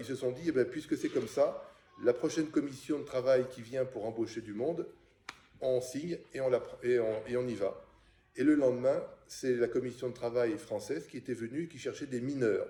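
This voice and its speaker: The man's loudness jumps up and down a lot while he keeps a moderate pace. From France, Paris. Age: 60s. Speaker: interviewee, son of a Czech émigré. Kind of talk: oral history interview. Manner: halting, many hesitations.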